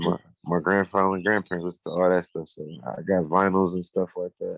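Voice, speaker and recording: In a Buffalo accent, a man speaks at a fairly quick pace in a very deep, low pitch with monotone, flat intonation. The sound is dry and close, with no echo. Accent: Buffalo, New York. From Buffalo, New York. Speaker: rapper. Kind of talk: interview. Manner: casual, filler-heavy.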